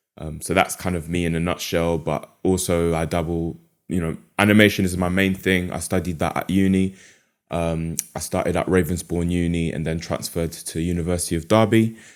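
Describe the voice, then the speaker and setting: This man has a very deep, low voice and a London accent, talking at a fairly quick pace. The recording is very clean, with a silent background. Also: fairly even intonation. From London, England. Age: 20s. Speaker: animator and mental health podcaster. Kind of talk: podcast interview.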